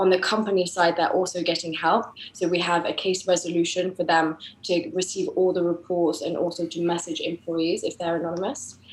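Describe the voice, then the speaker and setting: A woman with an English accent, fairly low in pitch, talking at a fairly quick pace in flat, monotone intonation over noticeable background noise. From England, grew up in France. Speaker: tech startup co-founder and CTO. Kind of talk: interview podcast.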